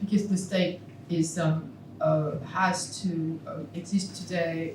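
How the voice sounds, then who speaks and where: The speaker has a French accent and talks at a very slow pace in a monotone, flat intonation. Noticeable background noise and audible room echo fill the recording. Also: woman. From France. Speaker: philosophy professor. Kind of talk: Q&A after a keynote lecture. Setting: conference hall with audience. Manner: halting.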